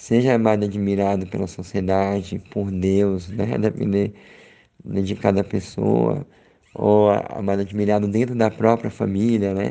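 Speaking at a fairly slow pace, a man has a dark, mellow tone, a fairly low pitch and ordinary pitch variation. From Brazil, Sergipe (Aracaju). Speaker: podcaster exchanging audio letters. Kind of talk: audio letter, personal reflection. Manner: reflective, with many fillers.

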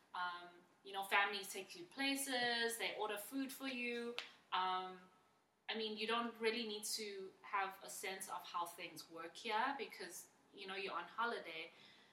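The speaker moves at a fairly slow pace with ordinary pitch variation. Audible room echo can be heard. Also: woman, medium pitch for a woman. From South Africa, Johannesburg. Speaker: teacher. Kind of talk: casual interview.

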